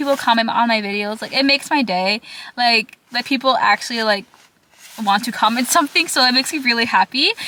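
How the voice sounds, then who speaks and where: With a Minnesota accent, a woman talks in a high pitch, her tone bright and sharp and her intonation lively. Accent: picked up a Minnesota. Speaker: vlogger, college student. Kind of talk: casual talking vlog. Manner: rambling, filler-heavy.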